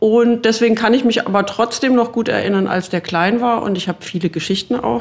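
A woman talking at a fairly quick pace, with lively intonation. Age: 50s. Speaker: journalist and author, chief editor. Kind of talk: casual interview chat. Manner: hesitant, many fillers.

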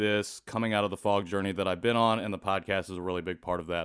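A man speaks with a Midwestern American accent at a fairly low pitch, his intonation monotone and flat. The recording is very clean, with a silent background. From US Midwest, rural Indiana. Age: 30s. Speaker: adoptee activist and podcast host. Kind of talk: interview.

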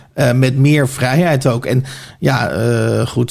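A man speaks in a medium pitch, his tone dark and mellow. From Netherlands, Oegstgeest (South Holland). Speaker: author and journalist. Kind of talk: casual interview.

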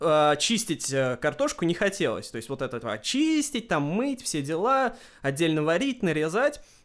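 In a very clean recording with a silent background, a man speaks fairly slowly in a high pitch with very wide pitch swings. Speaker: podcast host. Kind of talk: casual chat.

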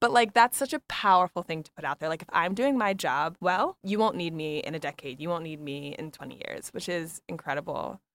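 A woman with a plain, everyday voice talks at a fairly quick pace with lively intonation. The recording is very clean, dry and close, with no echo and a silent background. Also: fairly low pitch for a woman, hardly any pauses, big swings in loudness. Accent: American. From US East Coast. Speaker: podcast host. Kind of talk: interview conversation.

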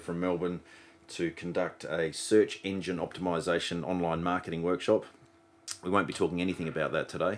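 On a very clean recording with a silent background, a man with an Australian accent talks fairly quickly in a very deep, low pitch. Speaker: podcast host. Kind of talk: casual interview.

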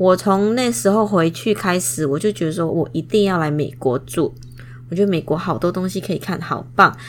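With a Taiwanese accent, a woman speaks at a fairly low pitch and moderate pace, her intonation lively. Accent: Taiwanese-sounding Mandarin. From Indonesia. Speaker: podcast host, product designer. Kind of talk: casual monologue. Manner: hesitant, with fillers.

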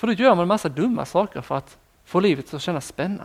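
A man's high voice at a moderate pace, with very wide pitch swings. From southern Sweden (Skåne, Ängelholm). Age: 20s. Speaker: preacher. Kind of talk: sermon.

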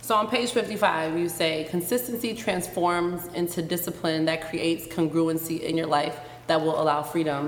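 With hardly any pauses and very even loudness, a woman speaks at a fairly low pitch. Audible room echo and noticeable background noise are present. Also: ordinary pitch variation, moderate pace. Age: 20s. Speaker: podcast host. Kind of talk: casual interview in front of live audience. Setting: stage with live audience.

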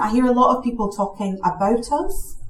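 A woman talks at a moderate pace. Background noise is noticeable throughout. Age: 30s. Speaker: equality charity director. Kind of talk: panel talk.

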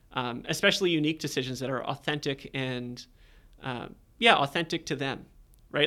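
In a Canadian accent, a man talks at a fairly quick pace with a bright, sharp tone and ordinary pitch variation, recorded very cleanly against a silent background. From Canada, Hamilton, Ontario. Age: 30s. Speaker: marketing director at a coaching company. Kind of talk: casual interview. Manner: relaxed, many fillers.

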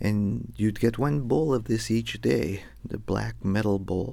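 An ordinary speaking voice moves at a fairly slow pace. The recording is very clean, with a silent background. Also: man. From US West, Los Angeles. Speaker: storyteller. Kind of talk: storytelling performance.

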